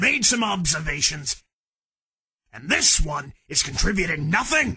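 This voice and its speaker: A man speaks at a moderate pace with a high-pitched voice. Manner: clipped, authoritative, contemptuous.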